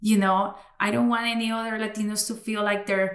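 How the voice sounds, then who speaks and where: Audible room echo surrounds a woman speaking at a fairly high pitch with fairly even intonation and a moderate pace. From Cali, Colombia; raised in Florida, US. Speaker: podcast host and bilingual communications consultant. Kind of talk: interview conversation. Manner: casual, many fillers.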